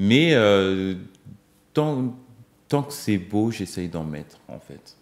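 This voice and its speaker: A man with a Congolese accent at a fairly low pitch, very slow pace, very wide pitch swings and big swings in loudness. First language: Lingala (speaking French). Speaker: singer-songwriter. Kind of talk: TV interview. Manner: hesitant, many fillers.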